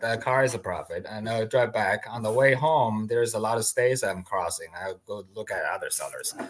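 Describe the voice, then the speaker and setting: A non-native accent at a moderate pace. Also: man. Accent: foreign. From outside the US. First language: not English. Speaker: land investor. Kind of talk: interview. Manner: halting.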